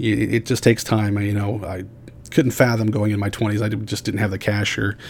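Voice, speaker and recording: A man's fairly low voice at a moderate pace, an ordinary speaking voice. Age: 40s. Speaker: podcast host. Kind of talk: solo podcast monologue. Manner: frequent fillers and repetitions.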